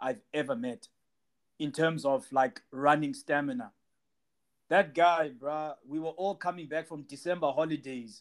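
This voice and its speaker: This man has a normal speaking voice pitched fairly high. His intonation stays fairly even. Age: 30s. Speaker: podcast host. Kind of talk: casual interview.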